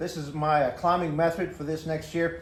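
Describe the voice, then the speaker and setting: A man with an American accent and a high pitch speaks amid audible room echo. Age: 60s. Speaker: hunter. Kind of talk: tutorial. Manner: casual, halting with fillers.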